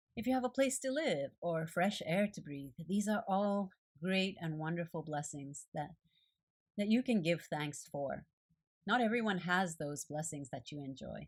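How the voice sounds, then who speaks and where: A woman with a fairly low pitch speaks at a fairly slow pace with lively intonation. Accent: Japanese. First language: Japanese. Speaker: art journaling video creator. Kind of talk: devotional reflection.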